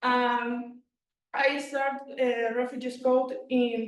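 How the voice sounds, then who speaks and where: A woman with a Spanish accent speaks in a high pitch. Room echo is audible. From Venezuela. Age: 20s. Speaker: former student presenting. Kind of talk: project presentation. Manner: halting.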